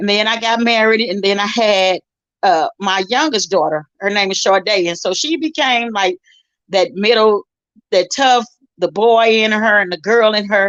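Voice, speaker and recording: An animated woman with an American accent, medium pitch, ordinary pitch variation and a moderate pace. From St. Louis, Missouri, US. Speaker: gospel singer and minister. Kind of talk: testimony. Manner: loud.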